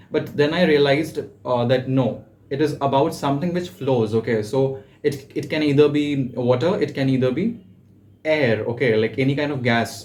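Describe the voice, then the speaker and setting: A somewhat breathy man's voice at a fairly high pitch, with ordinary pitch variation and a moderate pace. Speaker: personal tutor. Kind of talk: tutorial. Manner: halting, frequent fillers.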